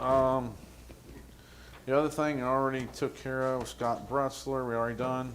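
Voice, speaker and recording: Speaking at a fairly slow pace, a man with a medium-pitched voice keeps his intonation fairly even. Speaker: township trustee. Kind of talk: public meeting report. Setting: township meeting room. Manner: loud.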